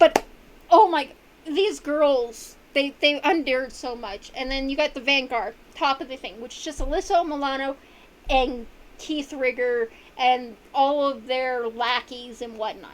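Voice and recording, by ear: Speaking at a fairly slow pace, a woman with a high pitch uses ordinary pitch variation and big swings in loudness.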